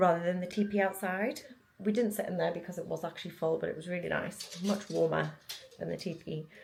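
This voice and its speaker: Fairly low for a woman, her voice carries vocal fry and fairly even intonation. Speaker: lifestyle vlogger. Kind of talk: casual vlog chat. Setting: outdoors by the quay.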